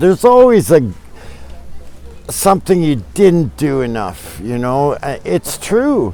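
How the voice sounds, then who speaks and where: This is a man speaking with a Canadian accent. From Canada, British Columbia. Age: 60s. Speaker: traveler. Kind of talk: casual interview chat. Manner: halting.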